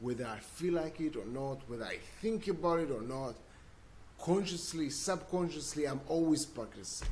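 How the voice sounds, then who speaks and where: Someone with a non-native accent speaks at a moderate pace with ordinary pitch variation, and room echo is audible. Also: man. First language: not English. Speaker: self-development video blogger. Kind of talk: casual monologue. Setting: livestream, seated. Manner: halting, repeats words.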